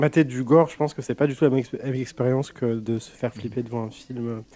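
With a dark, mellow tone at medium pitch, a man talks at a fairly quick pace with ordinary pitch variation. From Franche-Comté, France. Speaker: youtuber. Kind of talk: casual chat.

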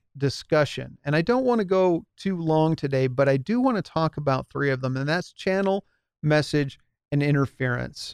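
Against a quiet background, a man with an unremarkable speaking voice and a fairly high pitch talks at a moderate pace with ordinary pitch variation, recorded dry and close with no echo. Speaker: podcast host and small business advisor. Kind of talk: solo podcast talk to audience. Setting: home studio with lit background, live stream. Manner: casual, many fillers.

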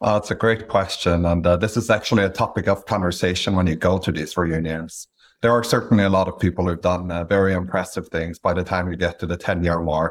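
A man speaks at a very fast pace with a very deep, low pitch and fairly even intonation. The recording is very clean with a silent background. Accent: Norwegian. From Norway, Stavanger. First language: Norwegian. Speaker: business acquirer and investor. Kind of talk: interview. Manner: measured, with frequent fillers.

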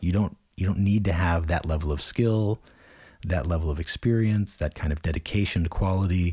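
A man with an American accent talks at a fairly quick pace in a very deep, low voice with a dark, mellow tone, somewhat breathy and with ordinary pitch variation. His loudness stays very even, and the recording is very clean over a silent background. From United States. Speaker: translator and language consultant. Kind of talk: interview conversation.

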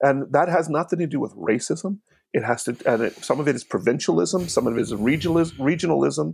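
A man with an American accent talks at a very fast pace, his fairly high voice showing vocal fry and lively intonation. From US Northeast, Hamilton, New Jersey. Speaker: poet and circus performer. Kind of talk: casual chat. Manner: halting.

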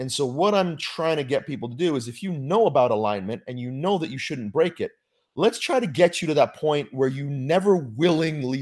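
Lively intonation marks a man's unremarkable speaking voice at a moderate pace. The recording is very clean, with a silent background. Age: 40s. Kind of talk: casual chat.

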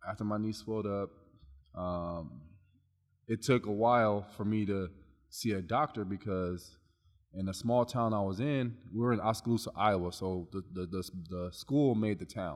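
A normal speaking voice from a man with an American accent, fairly low in pitch, with ordinary pitch variation at a moderate pace, in a very clean recording with a silent background. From Long Beach, California. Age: 30s. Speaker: personal trainer. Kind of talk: casual chat.

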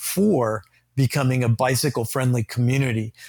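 On a very clean recording with a silent background, a man talks at a moderate pace with medium pitch and ordinary pitch variation. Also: dry, close sound with no echo. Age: 60s. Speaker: bike advocacy group president, retired educator. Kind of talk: casual interview. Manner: halting, frequent repetitions.

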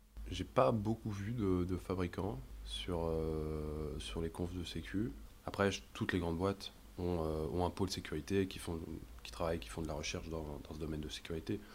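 With vocal fry and a very deep, low pitch, a man speaks at a moderate pace using lively intonation. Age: 20s. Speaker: firmware developer. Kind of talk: casual chat. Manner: halting.

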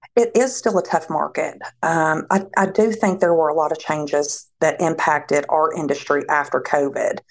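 The speech moves at a moderate pace with hardly any pauses, ordinary pitch variation and very even loudness. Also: woman, fairly low pitch for a woman. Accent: Tennessee. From Tennessee, Nashville. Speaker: staffing agency representative. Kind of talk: casual interview.

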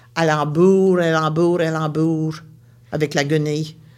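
Monotone, flat intonation in an Acadian accent. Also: woman. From Acadian Nova Scotia, Baie Sainte-Marie. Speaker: storyteller. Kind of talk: oral storytelling.

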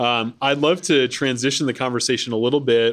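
A man speaks at a moderate pace in an unremarkable speaking voice, his intonation fairly even. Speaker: podcast host and nonprofit executive. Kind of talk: conversational panel interview. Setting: live recording at a conference. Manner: frequent filler words.

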